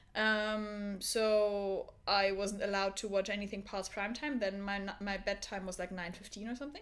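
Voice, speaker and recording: Speaking with a German accent, a woman keeps a medium pitch, a moderate pace and a monotone, flat intonation. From Germany. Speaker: podcast co-host. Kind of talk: casual chat.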